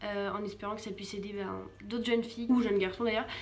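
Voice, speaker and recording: A woman speaks with music in the background and audible room echo. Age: 20s. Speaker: vlogger. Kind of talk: personal testimony and advice vlog. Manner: hesitant, many fillers; casual.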